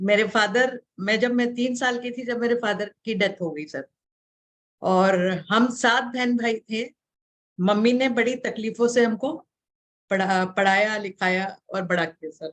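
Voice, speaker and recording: Here a woman talks at a fairly high pitch. Her pitch variation is ordinary. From Mumbai, India. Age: 60s. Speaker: accountant and student. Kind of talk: interview. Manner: hesitant, many fillers.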